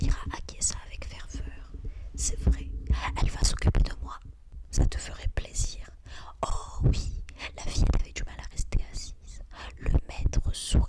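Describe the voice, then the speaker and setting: Whispering at a fairly slow pace, the speaker leaves long, frequent pauses, with big swings in loudness over noticeable background noise. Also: woman. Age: 20s. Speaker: ASMR content creator reading books aloud. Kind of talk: whispered ASMR book reading. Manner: soft, whispered, intimate.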